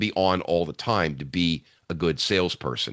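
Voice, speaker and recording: His pitch very deep and low, a man talks with ordinary pitch variation over a quiet background. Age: 60s. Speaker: sales speaker and leadership trainer. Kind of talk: podcast interview. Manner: animated.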